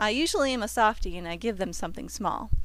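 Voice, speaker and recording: A woman at a moderate pace on a very clean recording, silent background. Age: 30s. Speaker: mom vlogger. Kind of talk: reading aloud.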